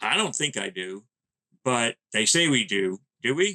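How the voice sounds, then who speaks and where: Dry and close with no echo, a man's voice comes in an American accent at a moderate pace, bright and sharp in tone, with lively intonation. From US Northeast (New Jersey/Pennsylvania). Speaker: pet radio show host. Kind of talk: podcast interview. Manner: talkative.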